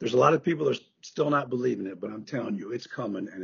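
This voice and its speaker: With an American accent and lively intonation, a man speaks in a somewhat breathy voice. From US Midwest, Chicago area. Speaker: author and former college professor. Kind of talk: podcast interview. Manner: casual, many fillers.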